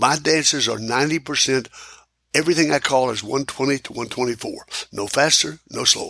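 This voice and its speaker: Recorded very cleanly over a silent background, a man speaks with a bright, sharp tone and vocal fry. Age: 80s+. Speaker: square dance caller and music producer. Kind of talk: casual interview.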